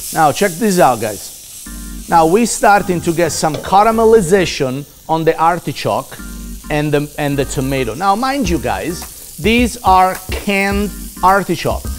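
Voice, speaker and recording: Faint music sits in the background as a man speaks at a fairly slow pace. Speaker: chef host. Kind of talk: cooking show tutorial.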